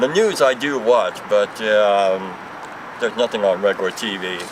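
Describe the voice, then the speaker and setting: Over audible noise in the background, a man speaks at a moderate speed. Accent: American. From US West Coast, Los Angeles. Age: 60s. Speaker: store clerk, former lawyer. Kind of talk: casual interview.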